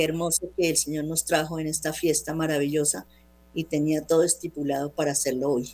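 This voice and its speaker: A woman's very deep, low voice at a fairly quick pace, flat and monotone. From Colombia, Bogotá. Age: 60s. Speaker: guest sharing personal faith testimony. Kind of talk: personal testimony on radio.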